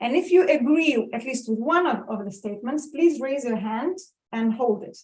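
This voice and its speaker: A loud woman, high in pitch, with lively intonation at a fairly slow pace. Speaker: professor, leadership researcher. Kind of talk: conference keynote talk. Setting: conference stage with audience.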